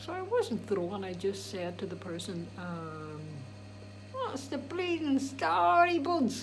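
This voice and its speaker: A woman speaking at a very slow pace with big swings in loudness, audible room echo and music in the background. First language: Irish. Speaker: DJ and vlogger. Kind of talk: casual vlog monologue. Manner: animated; halting.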